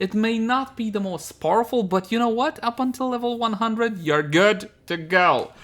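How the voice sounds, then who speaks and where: A man talks at a moderate pace with hardly any pauses. His pitch is high, with ordinary variation. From Germany, with childhood in Romania, Italy and Zimbabwe. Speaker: gaming YouTuber. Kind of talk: casual Q&A vlog. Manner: casual, conversational.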